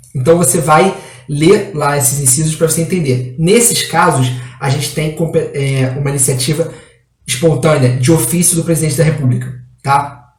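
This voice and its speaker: A somewhat breathy voice speaks at a moderate pace with fairly even intonation, with audible room echo. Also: man, fairly high pitch for a man. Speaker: exam prep law teacher. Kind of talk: online lecture. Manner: halting.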